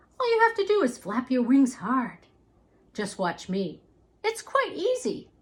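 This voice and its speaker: A high-pitched, put-on character voice comes from a woman, delivered at a moderate pace. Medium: read story.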